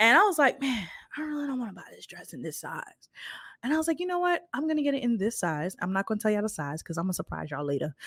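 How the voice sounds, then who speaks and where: A woman speaks very fast in an animated tone at a fairly high pitch, with very wide pitch swings and big swings in loudness. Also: very clean recording, silent background. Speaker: podcast host. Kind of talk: casual chat.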